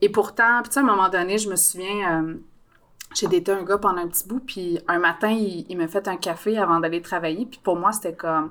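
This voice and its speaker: Bright and sharp in tone, a woman's medium-pitched voice moves at a fairly quick pace with fairly even intonation. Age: 30s. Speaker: podcast guest. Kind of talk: casual chat.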